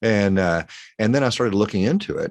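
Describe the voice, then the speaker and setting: With a Texan accent, a fairly low-pitched man speaks with lively intonation. The sound is dry and close with no echo, over a quiet background. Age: 60s. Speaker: pharmacist. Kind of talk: interview.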